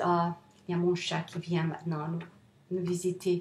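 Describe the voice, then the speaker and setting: This is a woman's voice. She speaks with a non-native accent. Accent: non-native French, rusty. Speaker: self-help author. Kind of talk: motivational talk to camera. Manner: halting, many hesitations.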